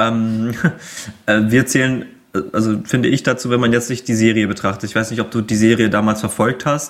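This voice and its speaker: A man's flat monotone unfolds at a moderate pace. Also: medium pitch for a man. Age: 20s. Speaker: video game fan guest. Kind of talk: casual chat. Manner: hesitant, many filler sounds.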